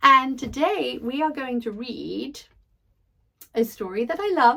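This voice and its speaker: Here a woman with a British accent speaks at a high pitch. Her tone is warm and upbeat, and her pace is fairly slow. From Britain. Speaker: actress, audiobook narrator. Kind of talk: casual talk to camera. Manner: warm, upbeat.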